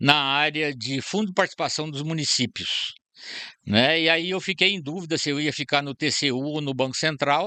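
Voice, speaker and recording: A man speaks at a moderate pace with a fairly high pitch and ordinary pitch variation. His tone is bright and sharp over a quiet background. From Brazil, southern Minas Gerais. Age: 70s. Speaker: retired central bank employee and historian. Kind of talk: podcast interview.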